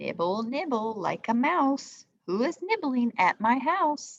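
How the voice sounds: A shrill, put-on character voice speaks at a fairly slow pace. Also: woman, high pitch for a woman.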